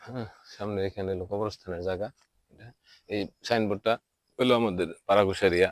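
A man's plain, everyday voice, fairly low in pitch, with fairly even intonation and a dry, close sound with no echo. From Bangladesh, Tangail district. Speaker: local council member and vlogger. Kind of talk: walking video tour. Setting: outdoors in village.

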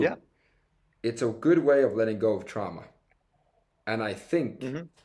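Against a quiet background, a man with a Finnish accent talks at a fairly slow pace. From Finland. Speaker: triathlete and speaker; interview guest. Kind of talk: casual interview. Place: home room. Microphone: video call.

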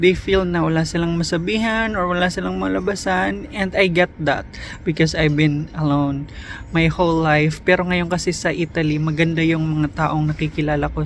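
At a moderate tempo, the speech carries over noticeable noise in the background. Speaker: vlogger. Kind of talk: casual vlog monologue. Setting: outdoors at a bus stop.

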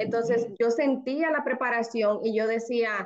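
Against a quiet background, a woman speaks at a fairly high pitch with fairly even intonation. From Dominican Republic. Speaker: lawyer and new real estate licensee; lawyer. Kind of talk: testimony. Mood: reflective, earnest. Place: home room. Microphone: video call.

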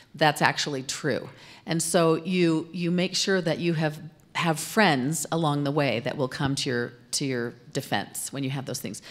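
Her pitch is very deep and low for a woman. She talks at a moderate pace with ordinary pitch variation. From Arizona, US. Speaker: corporate communications executive, former TV news anchor; interview guest. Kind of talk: interview on stage. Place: studio. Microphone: handheld.

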